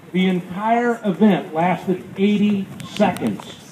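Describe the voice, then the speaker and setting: Loud background noise fills the clip. A man with an American accent speaks in a high pitch. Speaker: radio show host and rally speaker. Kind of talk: fiery rally speech to a crowd, persuasive and sermon-like. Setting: outdoor rally with crowd. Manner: animated, emphatic, rhetorical call-and-response; passionate, preacherly, rousing. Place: street. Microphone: camera far.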